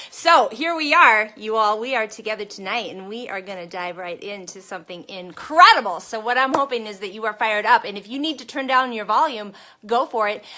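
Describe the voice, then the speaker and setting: The speech runs at a fairly quick pace with lively intonation. Noticeable noise sits in the background. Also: woman, fairly high pitch for a woman, hardly any pauses. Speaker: network marketing coach. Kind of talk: motivational live stream talk. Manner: loud, shouting; energetic, fired up.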